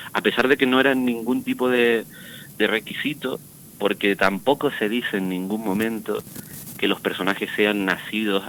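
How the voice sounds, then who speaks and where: The pace here is fairly slow in an ordinary speaking voice. Pitch varies in an ordinary way. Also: man. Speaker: actor. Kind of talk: radio interview.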